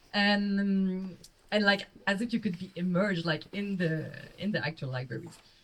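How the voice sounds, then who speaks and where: A somewhat breathy woman speaks at a moderate pace in a Quebec accent, with ordinary pitch variation. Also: medium pitch for a woman. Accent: Québécois French accent in English. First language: French. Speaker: film critic and novelist. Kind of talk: panel discussion. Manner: informal, many fillers like 'like'.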